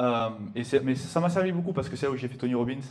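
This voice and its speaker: A man with a southern French accent speaks in an animated tone with ordinary pitch variation. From southern France. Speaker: sales entrepreneur and speaker. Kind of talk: live conference talk. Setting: stage with audience. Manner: fast.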